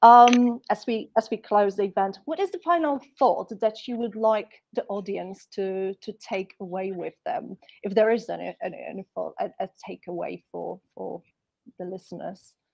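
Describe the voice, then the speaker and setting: A woman at medium pitch, with ordinary pitch variation, talks at a moderate pace with big swings in loudness, in a dry sound with no echo over a quiet background. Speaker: startup community organizer and event host; panel moderator. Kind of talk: event hosting. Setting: video call. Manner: halting. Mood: warm, friendly. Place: office. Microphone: earbuds.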